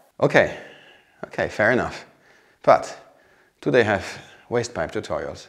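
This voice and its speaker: Speaking at a moderate pace with long, frequent pauses, a man talks with a German accent. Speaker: vlogger renovating a chateau. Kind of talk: scripted sponsor skit.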